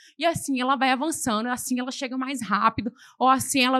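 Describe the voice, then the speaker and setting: Her voice is high-pitched, bright and sharp, and the woman's tone is animated. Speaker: preacher. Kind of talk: sermon. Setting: church.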